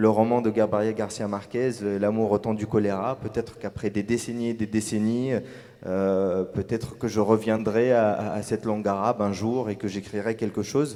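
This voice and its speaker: A man talks at a moderate pace in a fairly low, dark, mellow voice with fairly even intonation. The recording is very clean, with a silent background. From Tunisia. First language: Arabic (speaking French). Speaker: novelist. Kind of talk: panel discussion. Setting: stage with audience. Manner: hesitant, many fillers.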